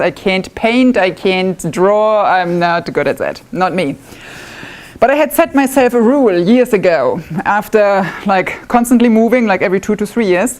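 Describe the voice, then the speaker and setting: A woman with a German accent and fairly high pitch speaks at a moderate pace with lively intonation over noticeable background noise. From northwest Germany. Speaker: woodworking club member, demonstrator. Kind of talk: live demonstration talk. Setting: club meeting with live audience. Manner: casual, self-deprecating.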